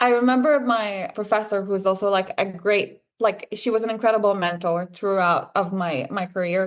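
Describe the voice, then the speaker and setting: A woman with an Israeli accent and ordinary pitch variation against a quiet background. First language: Hebrew. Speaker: filmmaker. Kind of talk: interview.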